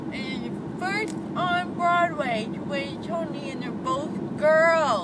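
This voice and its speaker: Very slow delivery against loud background noise. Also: woman, dry sound with no echo. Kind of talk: casual vlog chat. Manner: groggy, slurred post-anesthesia speech through swollen jaw. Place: car.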